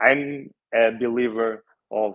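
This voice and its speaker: This man has a medium-pitched voice and a non-native accent. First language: Portuguese. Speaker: real estate office consultant. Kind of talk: online workshop presentation. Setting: video call. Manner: halting, many fillers.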